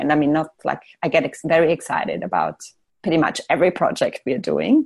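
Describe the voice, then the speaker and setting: A woman with a German accent at a fairly quick pace. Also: quiet background. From Austria. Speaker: architect. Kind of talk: casual interview chat. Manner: hesitant, many fillers.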